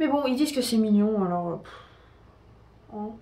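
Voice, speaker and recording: A woman with a fairly high pitch talks at a moderate pace over noticeable background noise. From France. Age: 20s. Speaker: au pair vlogger. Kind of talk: casual vlog monologue. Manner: hesitant, many fillers.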